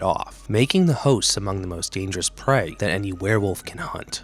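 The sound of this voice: Lively intonation marks a man's low-pitched voice as he speaks fairly quickly with a Boston accent. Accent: Boston American.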